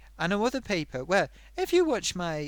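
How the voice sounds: In a very clean recording with a silent background, a man with a Sunderland accent speaks at a moderate pace. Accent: Mackem (Sunderland), Northeast English.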